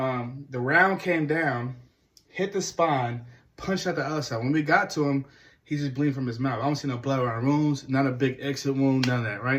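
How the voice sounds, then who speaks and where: Fairly high in pitch with ordinary variation, a man speaks at a fairly quick pace. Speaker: hunting vlogger. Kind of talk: casual first-person story recap. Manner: fast.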